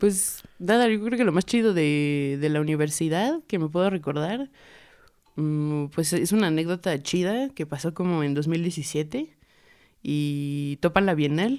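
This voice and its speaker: A woman with a fairly low pitch speaks at a very slow pace with lively intonation. The recording is very clean, with a silent background. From Mexico, raised in Puebla. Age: 20s. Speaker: visual artist and tattoo artist. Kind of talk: casual chat. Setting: studio.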